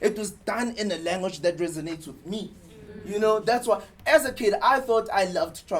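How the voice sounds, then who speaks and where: A man with a high voice, lively intonation, a fairly quick pace and big swings in loudness. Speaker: advertising copywriter. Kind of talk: talk to an audience. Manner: halting, repeats words.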